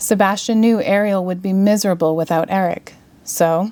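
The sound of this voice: An unforced reading voice. It flows without strain.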